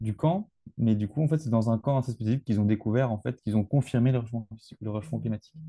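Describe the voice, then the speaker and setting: A man speaks at a fairly quick pace in a medium pitch, his tone dark and mellow and somewhat breathy. The sound is dry and close with no echo, over a quiet background. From rural France. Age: 20s. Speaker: geology student. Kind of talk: interview. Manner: halting.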